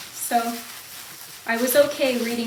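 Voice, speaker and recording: A woman with ordinary pitch variation, recorded with audible room echo and noticeable background noise. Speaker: student doing a class exercise. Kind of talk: self-recorded demonstration. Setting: at home. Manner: loud; hesitant.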